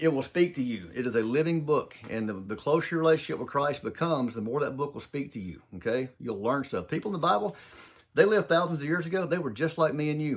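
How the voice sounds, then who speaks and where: A man speaks in an animated tone with a strong Southern US accent, his fairly high voice racing along at a very fast pace with lively intonation. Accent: thick Southern US. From US South, southern Mississippi. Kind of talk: motivational talk. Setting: home office.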